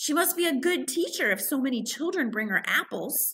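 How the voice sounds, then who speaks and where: A woman performs a put-on character voice, high and fairly quick, with very wide pitch swings and very even loudness. The recording is very clean, with a silent background. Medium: read story.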